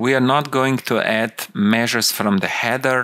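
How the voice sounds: Speaking slowly, a man has a fairly bright tone.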